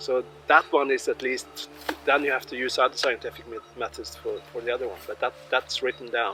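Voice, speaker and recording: A man with a Swedish accent at a fairly quick pace, against noticeable background noise. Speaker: tour guide with history degree. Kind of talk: guided tour explanation. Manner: halting.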